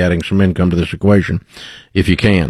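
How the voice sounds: Fairly even intonation runs through this fast-paced delivery. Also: man.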